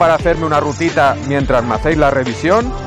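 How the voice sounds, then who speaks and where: A man's dry voice, with no echo, is heard over clear background music. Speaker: motorcycle vlogger. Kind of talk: casual vlog chat. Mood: enthusiastic. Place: motorbike. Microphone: helmet.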